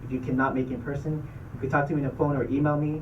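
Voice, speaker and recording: A man's medium-pitched voice at a very fast pace, with audible room echo. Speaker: dental school admissions officer. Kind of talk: presentation to student club.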